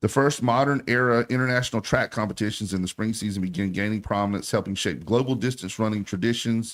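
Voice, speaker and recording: A man with an American accent speaks at a very fast pace and a medium pitch, with hardly any pauses and ordinary pitch variation. The recording is very clean, with a silent background. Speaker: sports radio host. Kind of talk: radio talk show. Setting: radio studio. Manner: animated.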